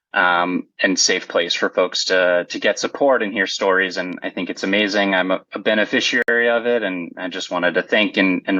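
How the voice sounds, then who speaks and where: A man at a moderate pace with hardly any pauses. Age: 30s. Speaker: kidney transplant recipient. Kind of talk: podcast interview.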